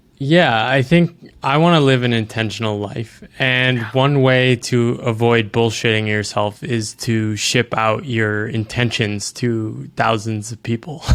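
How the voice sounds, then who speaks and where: A man's plain, everyday voice, medium in pitch, with ordinary pitch variation, a fairly slow pace and hardly any pauses. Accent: American. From US East Coast. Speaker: author. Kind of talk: casual interview conversation.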